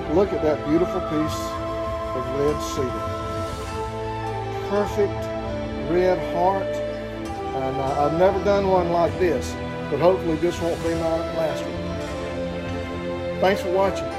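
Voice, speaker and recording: Loud music plays in the background as a man speaks at a very slow pace. His speech has long, frequent pauses. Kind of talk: casual tutorial chat. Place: workshop. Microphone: camera far.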